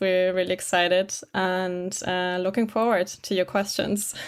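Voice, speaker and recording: At a fairly slow pace, a woman speaks in a German accent. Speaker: legal operations specialist. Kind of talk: podcast interview.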